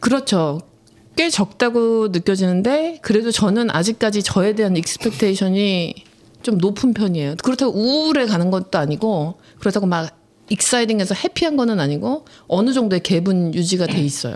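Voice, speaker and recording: A woman talks at a moderate pace, her pitch swinging very widely while her loudness stays very even. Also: medium pitch for a woman. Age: 40s. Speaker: podcast co-host. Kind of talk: casual chat.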